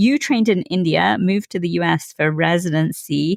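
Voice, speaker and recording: A woman with an unremarkable speaking voice and an American accent talks at a fairly low pitch and a moderate pace, using lively intonation. The sound is dry and close with no echo, over a quiet background. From outside the US. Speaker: podcast host, physician. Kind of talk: interview.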